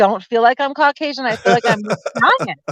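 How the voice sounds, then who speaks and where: Loud and animated, a woman speaks very fast in a high voice, the sound dry and close with no echo. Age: 40s. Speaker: lawyer and small business consultant. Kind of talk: casual chat. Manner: loud, animated.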